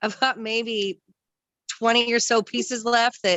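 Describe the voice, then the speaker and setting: A loud woman's voice, high in pitch. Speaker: new MLM consultant. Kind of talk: casual chat. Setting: video call.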